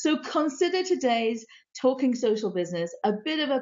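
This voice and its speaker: A woman's voice swings very widely in pitch while she keeps a moderate pace. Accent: British. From UK. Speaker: live stream host. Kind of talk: live stream interview.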